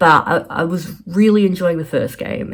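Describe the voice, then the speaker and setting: Her voice carries an American accent. The woman's pitch is fairly low. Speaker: artist and PhD applicant vlogger. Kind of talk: casual vlog life update. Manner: halting, many fillers.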